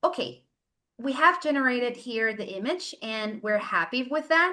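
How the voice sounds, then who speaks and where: High-pitched and bright, sharp in tone, a woman speaks with lively intonation. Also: quiet background. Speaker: workshop presenter. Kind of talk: tutorial. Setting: webinar. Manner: slow, step by step.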